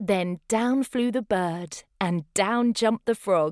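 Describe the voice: A woman at medium pitch, slow and slightly mellow, with ordinary pitch variation, on a very clean recording with a silent background and a dry, close sound with no echo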